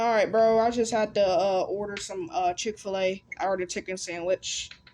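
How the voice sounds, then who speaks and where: With a plain, everyday voice, a woman speaks at a moderate pace with fairly even intonation. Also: medium pitch for a woman. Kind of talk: casual chat.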